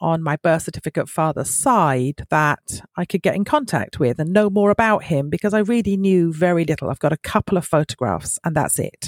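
With a British accent, a woman talks at a moderate pace in a fairly low pitch with ordinary pitch variation, captured dry and close with no echo on a very clean recording against a silent background. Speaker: podcast guest sharing a family discovery story. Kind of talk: personal testimony.

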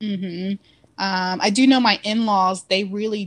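An unremarkable speaking voice from a woman with an American accent, medium in pitch, fairly slow, with fairly even intonation. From Irving, Texas (Dallas area). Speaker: convert to Islam, healthcare worker. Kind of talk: interview testimony.

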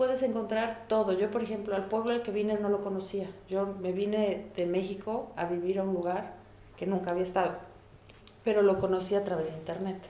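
A woman speaks at a fairly quick pace in a medium pitch with fairly even intonation, amid audible room echo and noticeable background noise. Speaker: immigrant mother. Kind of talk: interview. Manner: reflective.

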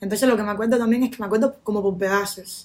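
A woman speaks at a medium pitch. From Cuba, Pinar del Río; came to US at 8. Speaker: podcast host. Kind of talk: casual chat.

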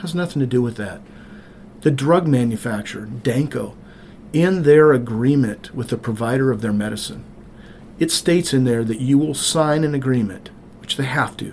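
A man with an American accent speaks at a medium pitch and a moderate pace. He has a plain, everyday voice with ordinary pitch variation. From rural Montana. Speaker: state senator. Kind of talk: interview.

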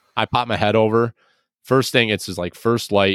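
A man talks at a moderate pace in a plain, everyday voice, fairly low in pitch with fairly even intonation. The recording is very clean, with a silent background. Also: dry, close sound with no echo. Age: 30s. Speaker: hunter and outdoors podcaster. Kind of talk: casual interview conversation.

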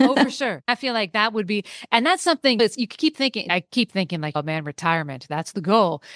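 Talking at a very fast pace, a woman with an American accent uses a fairly high pitch and very wide pitch swings. The sound is dry and close with no echo, over a quiet background. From US West Coast, San Francisco Bay Area. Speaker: veterinary technician. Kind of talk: casual interview chat.

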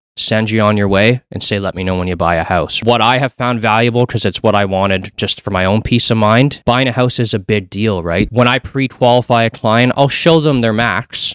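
In a normal speaking voice with a Canadian accent, the speaker talks at a fairly quick pace with hardly any pauses. Pitch variation is ordinary, and the sound is dry and close with no echo. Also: man, medium pitch for a man. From Canada, Hamilton, Ontario. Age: 30s. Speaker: mortgage broker. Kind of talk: podcast interview.

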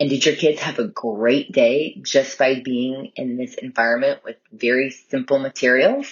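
A woman with an American accent and a very deep, low pitch speaks fairly slowly, with hardly any pauses. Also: fairly even intonation. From California. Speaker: listener, homeschooling mom. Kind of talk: recorded listener testimonial.

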